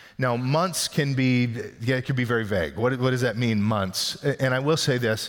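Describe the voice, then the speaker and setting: A man uses a normal speaking voice at a medium pitch, moving at a fairly quick pace with ordinary pitch variation. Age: 50s. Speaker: pastor. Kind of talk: sermon.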